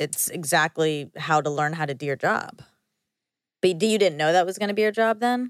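On a very clean recording with a silent background and a dry, close sound with no echo, a woman with an ordinary speaking voice talks at a moderate pace with lively intonation. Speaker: podcast co-host. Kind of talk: casual chat. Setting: studio.

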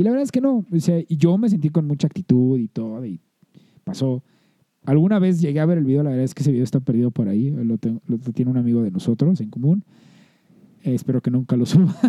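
A man's very fast, fairly high voice in a Mexican accent, dark and mellow in tone, with lively intonation and a dry, close sound with no echo. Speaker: podcast co-host. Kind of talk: casual chat.

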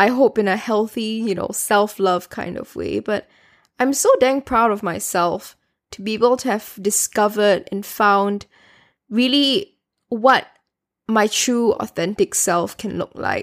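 A woman with a normal speaking voice talks fairly slowly at a fairly high pitch, her pitch varying in an ordinary way and her loudness swinging widely, on a very clean recording with a silent background. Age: 20s. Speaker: solo podcast host. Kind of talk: personal reflective monologue. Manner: casual and rambling with fillers.

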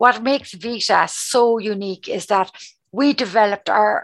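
A woman with a strong Cork accent speaks at a fairly high pitch. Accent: strong Cork Irish. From Cork, Ireland. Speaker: charity communications and fundraising head. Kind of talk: interview conversation.

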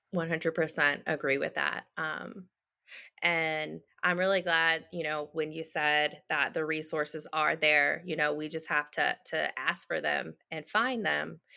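On a very clean recording with a silent background, a woman speaks very slowly in a very deep, low pitch, her bright, sharp tone carrying vocal fry and fairly even intonation. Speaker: podcast host. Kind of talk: interview, scripted intro.

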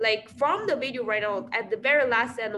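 A woman with a Chinese accent, vocal fry and lively intonation, at a moderate pace. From China. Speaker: podcast co-host. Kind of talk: casual chat.

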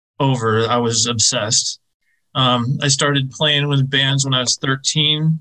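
A man's medium-pitched voice with an American accent, bright and sharp in tone, flat and monotone, at a fairly slow pace. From US Midwest, Chicago. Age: 50s. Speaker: music venue owner and drummer. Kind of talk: interview conversation. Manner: talkative, rambling.

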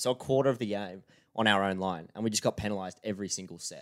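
Talking at a very fast pace, a man with an Australian accent has a fairly low pitch. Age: 20s. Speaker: podcast co-host. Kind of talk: casual chat.

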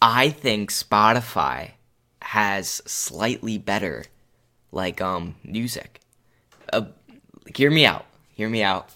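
A man with vocal fry, a bright, sharp tone and lively intonation, at a very slow pace with long, frequent pauses. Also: fairly low pitch for a man. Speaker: podcast co-host. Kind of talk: casual chat.

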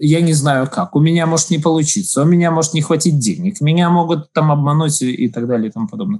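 A man talks very fast at a fairly high pitch, with ordinary pitch variation. His tone is dark and mellow. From Latvia, Daugavpils. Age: 40s. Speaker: business incubator head. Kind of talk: interview. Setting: remote call.

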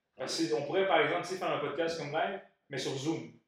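Someone talks at a very fast pace, and audible room echo surrounds the words. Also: man. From Montreal, Quebec. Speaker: podcast co-host. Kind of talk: casual chat.

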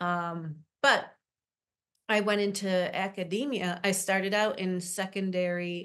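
In an ordinary speaking voice, a woman talks with an American accent at medium pitch. Her intonation is fairly even, and the background is quiet. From Syracuse, New York. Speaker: literacy nonprofit leader. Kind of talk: interview. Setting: organization headquarters office.

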